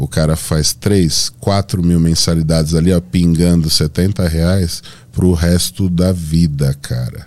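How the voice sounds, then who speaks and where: A man with a Paulista accent speaks at a very slow pace with hardly any pauses, his pitch very deep and low. His tone is dark and mellow, his loudness very even and his intonation fairly even. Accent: Paulista Brazilian Portuguese. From Brazil, Santo André (São Paulo). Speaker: bodybuilding athlete and coach. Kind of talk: interview podcast conversation.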